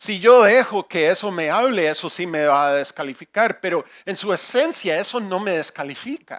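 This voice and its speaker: Pitched high, a man with a non-native accent speaks with lively intonation. He leaves hardly any pauses. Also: moderate pace. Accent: non-native Spanish, imperfect. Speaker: pastor. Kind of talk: sermon. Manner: halting, with repetitions.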